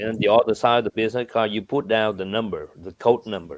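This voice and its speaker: With a Vietnamese accent, a man speaks at a medium pitch with ordinary pitch variation. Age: 60s. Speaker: businessman. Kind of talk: interview answers, explaining. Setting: video call. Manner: animated.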